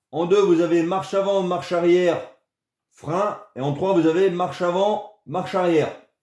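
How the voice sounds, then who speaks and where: Audible room echo surrounds a man with a high-pitched voice. His intonation is fairly even, and his pace is moderate. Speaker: RC hobby youtuber. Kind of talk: tutorial. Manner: casual, hesitant with many euh.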